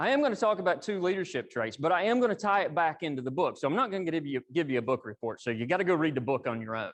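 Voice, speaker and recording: A man with an Appalachian accent, high-pitched and very fast, his pitch swinging very widely. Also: hardly any pauses. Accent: country Appalachian (self-described). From East Tennessee (Appalachia). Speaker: engineering executive, guest speaker. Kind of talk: professional talk to audience. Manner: casual, conversational.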